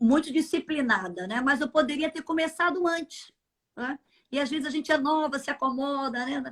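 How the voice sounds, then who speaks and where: The speaker uses ordinary pitch variation. Long pauses come often. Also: woman. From Brazil, Minas Gerais. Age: 60s. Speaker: church leader, pastor's wife. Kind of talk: interview. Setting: live stream.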